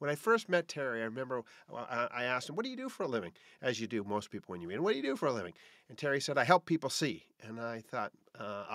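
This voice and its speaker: A man speaks at a very fast pace with big swings in loudness. The sound is dry with no echo, over a quiet background. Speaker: podcast host. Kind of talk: podcast monologue. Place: home room.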